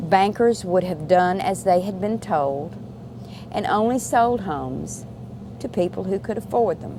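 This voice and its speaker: A woman with a Virginia accent speaks fairly slowly at a medium pitch, her intonation lively, while noticeable background noise runs underneath. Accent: Southern US (Virginia). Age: 60s. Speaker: restaurant worker. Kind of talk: interview.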